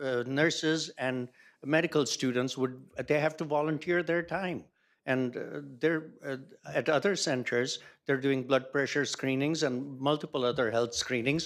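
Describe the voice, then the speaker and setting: A man with a normal speaking voice, fairly high in pitch and fairly even in intonation, speaks at a moderate pace on a very clean recording with a silent background. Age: 60s. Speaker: public commenter. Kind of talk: council meeting discussion.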